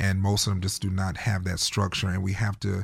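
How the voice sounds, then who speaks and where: With an American accent, a man speaks at a very fast pace in a very deep, low, somewhat breathy voice, recorded very cleanly against a silent background. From North Carolina. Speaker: youth ministry founder. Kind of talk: interview.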